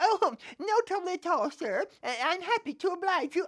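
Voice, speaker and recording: A put-on character voice, extremely high in pitch, at a moderate pace. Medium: read story. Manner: fussy, flustered.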